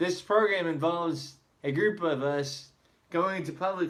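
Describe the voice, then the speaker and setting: Audible room echo surrounds a man speaking at a fairly slow pace with fairly high pitch and ordinary pitch variation. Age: 20s. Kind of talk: prepared speech.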